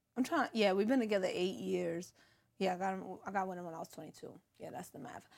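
A woman's very fast speech at a medium pitch, with vocal fry, ordinary pitch variation and big swings in loudness. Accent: New York. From New York City, Brooklyn (East New York). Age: 30s. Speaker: social media comedian and reality TV personality. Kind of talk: casual interview chat. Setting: studio.

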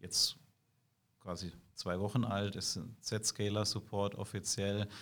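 Here a man speaks at a fairly low pitch in a monotone, flat way. The recording is very clean, with a silent background. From southwestern Germany, Karlsruhe. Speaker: IT security sales executive. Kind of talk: interview. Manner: hesitant with many fillers.

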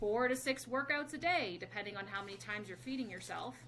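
A woman speaks at a fairly quick pace with very wide pitch swings. Noticeable background noise runs underneath. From Canada. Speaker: performance dietitian and exercise physiologist. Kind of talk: casual interview. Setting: home office.

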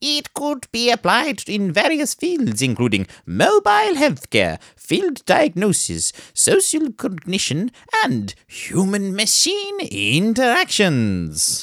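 Putting on a character voice, a man speaks in a theatrical tone at a high pitch and fairly slow pace, recorded dry and close with no echo. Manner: theatrical, over the top.

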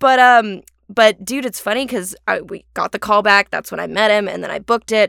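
Speaking at a fairly quick pace, a woman with a fairly high pitch shows big swings in loudness, and the sound is dry and close with no echo. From Orange County, California. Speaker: actor. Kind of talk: casual chat. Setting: remote call.

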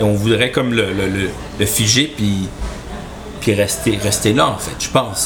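The pitch moves in an ordinary way. Background noise is noticeable. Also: man. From Quebec, Chibougamau. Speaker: podcast co-host. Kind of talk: casual chat about politics.

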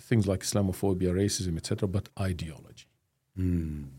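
A man's fairly low, somewhat breathy voice at a moderate pace, on a very clean recording with a silent background. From Jordan. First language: Arabic. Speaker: professor of Islamic studies. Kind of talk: interview.

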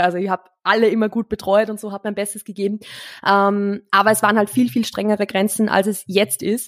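A woman talks at a fairly quick pace in an unremarkable speaking voice, medium in pitch. The sound is dry and close, with no echo. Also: very clean recording, silent background. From Austria, rural. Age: 20s. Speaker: marketing consultant and former fitness coach. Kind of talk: casual chat.

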